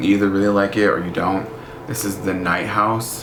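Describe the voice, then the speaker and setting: A man's speech carries audible room echo, with noticeable background noise underneath. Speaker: book vlogger. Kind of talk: casual vlog. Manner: animated.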